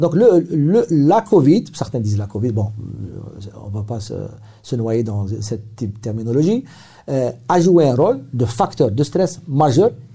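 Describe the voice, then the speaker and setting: A man's dark, mellow, somewhat breathy voice, very slow in pace, with lively intonation. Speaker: psychiatrist. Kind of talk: interview. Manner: halting.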